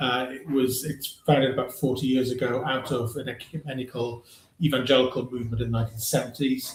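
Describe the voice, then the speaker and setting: A man's medium-pitched voice with a Welsh accent, fairly quick pace and monotone, flat intonation, over noticeable background noise. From South West Wales, Llanelli. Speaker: charity leader. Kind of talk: panel discussion.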